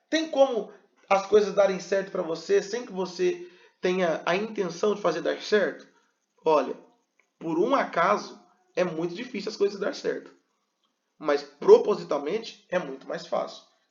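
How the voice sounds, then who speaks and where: A man with a high voice speaks fairly slowly with lively intonation, long and frequent pauses, and audible room echo. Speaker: pastor and communication teacher. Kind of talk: lecture. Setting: video recorded to camera. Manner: animated, varied pace and pitch.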